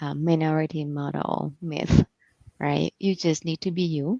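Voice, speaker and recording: The tone is dark and mellow, with a Thai accent. The sound is dry and close, with no echo. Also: woman. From Thailand. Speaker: executive coach. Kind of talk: interview. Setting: livestream.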